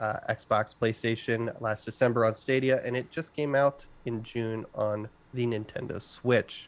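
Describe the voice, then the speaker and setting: Speaking at a moderate pace and medium pitch, a man uses an ordinary speaking voice with fairly even intonation. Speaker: gaming podcast host. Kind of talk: casual chat.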